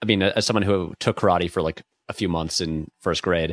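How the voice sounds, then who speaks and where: This man's very deep, low voice has ordinary pitch variation and a dry, close sound with no echo. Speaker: video essayist guest. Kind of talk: casual chat.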